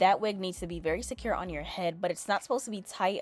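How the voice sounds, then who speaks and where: A woman's fairly low voice at a very fast pace. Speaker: beauty youtuber. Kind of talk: tutorial. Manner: casual.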